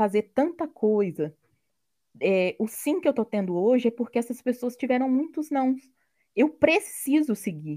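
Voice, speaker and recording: A woman's high voice, fairly slow, with very wide pitch swings and a dry, close sound free of echo. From Brazil, interior of Rio de Janeiro state. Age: 30s. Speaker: product owner, tech worker. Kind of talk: interview.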